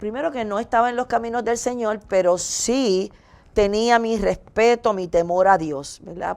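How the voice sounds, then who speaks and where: A woman has an unremarkable speaking voice with ordinary pitch variation. She talks at a fairly slow pace. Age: 60s. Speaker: talk show co-host sharing testimony. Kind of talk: testimony.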